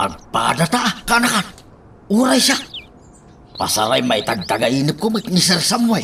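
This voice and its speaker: A man's put-on character voice, high in pitch, with very wide pitch swings, a moderate pace and long, frequent pauses. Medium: audio drama. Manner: nervous, stammering.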